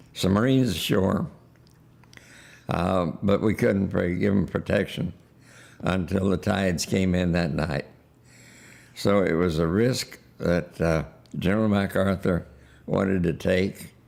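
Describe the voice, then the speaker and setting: Very even loudness at a fairly slow pace, with long, frequent pauses. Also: man, very deep, low pitch for a man, ordinary pitch variation. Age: 90s. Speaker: war veteran. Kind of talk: testimony. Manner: halting.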